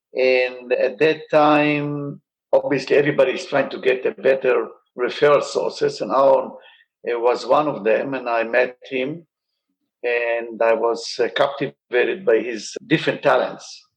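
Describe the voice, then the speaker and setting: At a moderate pace, a man talks with an Israeli accent. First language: Hebrew. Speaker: surgeon. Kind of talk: interview.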